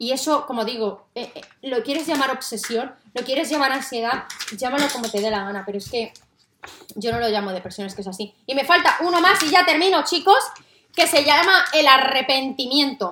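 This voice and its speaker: A woman's raised, projected voice, high in pitch, with lively intonation at a moderate pace. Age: 30s. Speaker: podcast host, mother. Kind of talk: casual monologue to listeners. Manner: animated.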